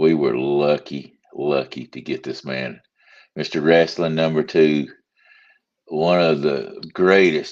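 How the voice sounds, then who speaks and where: In a Southern US accent, a man speaks at a very deep, low pitch and a very slow pace, with fairly even intonation. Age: 60s. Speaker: podcast host. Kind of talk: casual chat.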